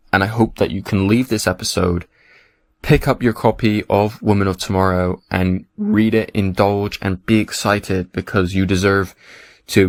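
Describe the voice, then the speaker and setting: Recorded very cleanly against a silent background, a man speaks in a fairly low voice. The sound is dry and close, with no echo. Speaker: podcast host. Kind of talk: solo podcast monologue. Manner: animated.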